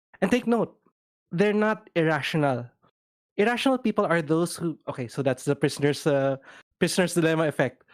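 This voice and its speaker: On a very clean recording with a silent background, the speaker moves at a fairly quick pace but leaves long, frequent pauses. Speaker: co-host of discussion stream. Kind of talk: casual discussion. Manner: halting, self-correcting.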